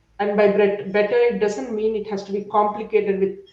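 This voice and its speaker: The voice has a dark, mellow tone, with audible room echo. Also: woman. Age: 30s. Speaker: software engineer. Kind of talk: interview. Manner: stutters when stressed.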